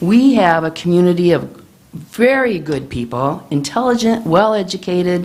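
With a Midwestern American accent, a fairly low-pitched woman talks at a moderate pace with very wide pitch swings amid audible room echo. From Illinois, Manteno. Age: 70s. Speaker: resident public commenter. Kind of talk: public comment at council meeting. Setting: village board meeting.

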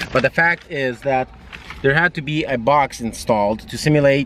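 A man at a moderate pace with ordinary pitch variation, dry with no echo, over light background noise. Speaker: car owner vlogger. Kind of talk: casual vlog chat. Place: car. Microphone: phone near.

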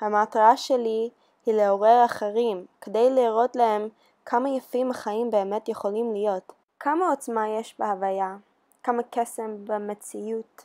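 On a very clean recording with a silent background, a woman with an American accent speaks at a very slow pace, her fairly high pitch carrying a dark, mellow tone and fairly even intonation. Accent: American accent in Hebrew. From USA. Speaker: beauty pageant contestant. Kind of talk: scripted personal video.

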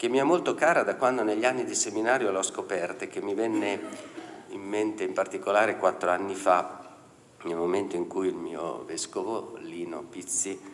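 A man talks at a moderate pace while light background noise plays behind him. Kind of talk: lecture. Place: hall. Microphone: podium.

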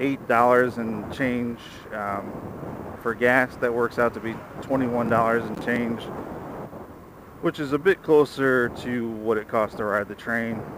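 With a dry sound with no echo but noticeable background noise, a man talks at a fairly slow pace with fairly even intonation and long, frequent pauses. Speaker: scooter commuter vlogger. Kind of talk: casual vlog chat. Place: motorbike. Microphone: helmet.

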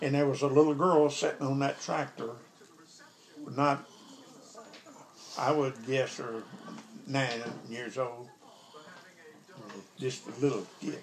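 Someone with a Southern US accent talks at a fairly slow pace with fairly even intonation and long, frequent pauses over noticeable background noise. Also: man. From Arkansas. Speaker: grandfather telling a story. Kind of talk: storytelling. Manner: casual, conversational. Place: kitchen. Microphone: phone near.

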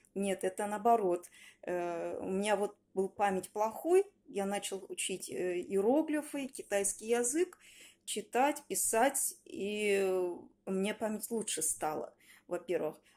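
At a very slow pace, a woman speaks in a dark, mellow tone of medium pitch with lively intonation. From Russia, Yaroslavl region; Russia. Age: 40s. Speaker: language student, tour guide; student giving a course review. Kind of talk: testimonial. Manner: halting. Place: home room.

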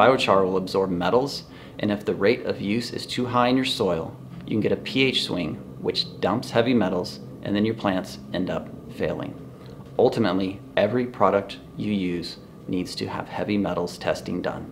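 A man's fairly low voice at a moderate pace, lively in intonation, with music in the background. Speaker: organic soil company owner. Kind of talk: scripted educational explainer read from teleprompter. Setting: indoors in a store, wind noise. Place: shop.

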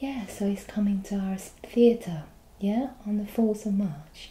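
A woman speaks fairly slowly with a somewhat breathy sound. Room echo can be heard in the recording. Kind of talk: role-play customer service dialogue. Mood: friendly, helpful. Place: home room. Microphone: webcam.

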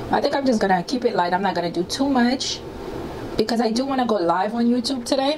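At a very fast pace, a woman speaks with lively intonation and very even loudness at a fairly high pitch, over noticeable background noise. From Haiti. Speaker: YouTuber. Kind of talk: casual chat. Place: home room. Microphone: lapel.

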